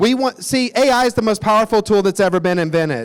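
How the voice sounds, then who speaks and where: A man speaks with a Tennessee accent. His tone is animated and his intonation lively. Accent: Southern US (Tennessee). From US South, Nashville, Tennessee. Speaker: company executive. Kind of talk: conference talk. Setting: stage with audience.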